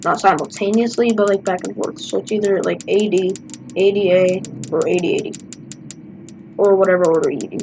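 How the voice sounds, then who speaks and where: Over noticeable background noise, a woman with a medium pitch talks at a fairly quick pace, with fairly even intonation and long, frequent pauses. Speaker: gaming YouTuber. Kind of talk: gameplay commentary. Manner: quiet.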